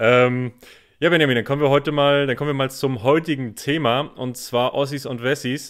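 In a medium pitch, a man speaks at a moderate pace with monotone, flat intonation. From northeastern Germany, Rostock. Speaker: podcast co-host, German teacher. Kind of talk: casual conversation for German learners.

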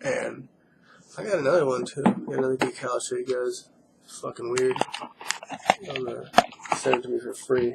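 The speaker goes at a fairly quick pace. Noticeable background noise runs underneath. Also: man. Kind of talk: casual talk to camera. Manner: rambling, profane.

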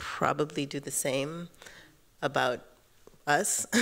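The speaker talks very slowly in an American accent. The background is quiet. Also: woman. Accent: sounds American depending on listener. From Kenya, East Africa, Tanzanian family. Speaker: filmmaker, panelist; panelist. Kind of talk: panel discussion. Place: hall. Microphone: handheld.

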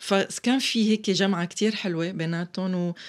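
A woman speaks with a Syrian accent against a quiet background. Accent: Syrian Levantine Arabic. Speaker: stage actress and theatre director; stage actress. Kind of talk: interview. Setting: studio. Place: studio. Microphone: studio mic.

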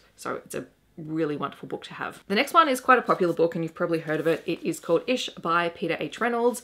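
Talking very fast in an Australian accent, a woman sounds bright and sharp, with lively intonation. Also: fairly low pitch for a woman, big swings in loudness. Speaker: teacher and book reviewer. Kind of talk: book review vlog. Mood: warm, enthusiastic. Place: home room.

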